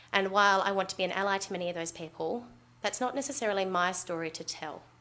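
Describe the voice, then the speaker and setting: At a very fast pace, a woman with an Australian accent talks in a bright, sharp tone with fairly even intonation. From Western Australia. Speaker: doctor. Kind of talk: conference talk.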